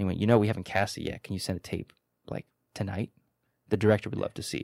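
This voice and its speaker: Very fast speech in an American accent, with ordinary pitch variation, in a very clean recording with a silent background and a dry, close sound with no echo. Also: man. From New York City, Lower East Side. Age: 20s. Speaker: actor. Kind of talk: casual chat.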